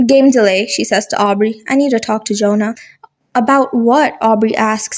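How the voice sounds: Pitch varies in an ordinary way in this natural reading voice. All around it stays quiet.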